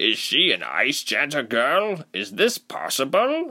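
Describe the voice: A man does a put-on character voice at medium pitch with a bright, sharp tone. He speaks at a slow pace with very wide pitch swings.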